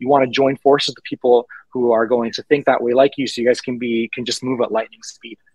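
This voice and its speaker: A man's medium-pitched voice, very fast with hardly any pauses, flat and monotone, big swings in loudness, dry with no echo over a quiet background. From Puerto Rico (San Juan), then Miami from age 11; Puerto Rico. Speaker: startup founder and tech panel moderator; tech panel moderator. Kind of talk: panel discussion. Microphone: video call.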